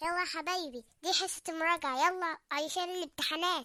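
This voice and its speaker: A squeaky, cartoonish character voice at an extremely high pitch and a moderate pace. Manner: friendly, ironic.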